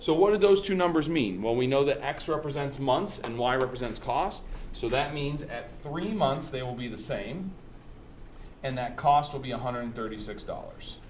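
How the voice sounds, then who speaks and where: With lively intonation, a man with a fairly high voice speaks amid noticeable background noise and audible room echo. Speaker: math teacher. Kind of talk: tutorial. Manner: fast; casual.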